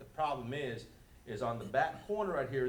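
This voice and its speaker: A man speaks at a medium pitch and a moderate pace. The room echoes audibly, and background noise is noticeable. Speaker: resident speaking at public comment. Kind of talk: public comment at council meeting. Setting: city council chambers. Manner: loud without microphone.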